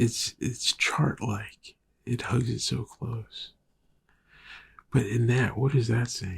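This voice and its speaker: A man speaks at a medium pitch in a somewhat breathy voice. His pace is very slow, with long, frequent pauses. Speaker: film podcast host. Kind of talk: casual monologue. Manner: halting.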